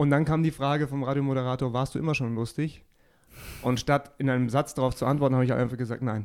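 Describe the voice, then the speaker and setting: A medium-pitched man talks at a very fast pace with monotone, flat intonation. The recording is very clean, with a silent background. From Upper Bavaria, Geretsried area. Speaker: comedian. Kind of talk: casual chat.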